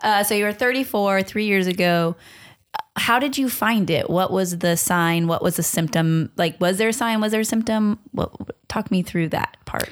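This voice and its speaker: A woman with an American accent talks at a moderate pace in a medium pitch, with ordinary pitch variation and very even loudness. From Long Beach, California. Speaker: podcast host and nonprofit founder. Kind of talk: casual interview chat.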